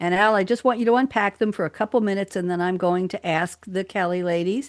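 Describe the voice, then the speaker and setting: A woman speaks with a plain, everyday voice in an American accent, at medium pitch. Her pitch variation is ordinary, and the background is quiet. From New York. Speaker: radio talk show host. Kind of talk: casual roundtable chat. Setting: live radio studio.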